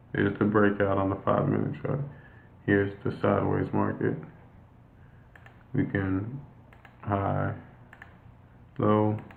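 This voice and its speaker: In a room with audible echo, a man speaks at a fairly low pitch with ordinary pitch variation and long, frequent pauses. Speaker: forex trading coach. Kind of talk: live trading session walkthrough. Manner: halting, many fillers.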